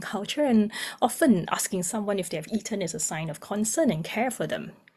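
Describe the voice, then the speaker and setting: Her delivery is fairly quick and somewhat breathy, as a woman with a medium pitch uses lively intonation. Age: young. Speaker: music therapist. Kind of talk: webinar presentation.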